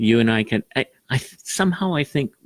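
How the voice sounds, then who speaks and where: A man at medium pitch makes very wide pitch swings, and the sound is dry and close with no echo. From Malaysia. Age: 60s. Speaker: citizenship judge. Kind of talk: interview.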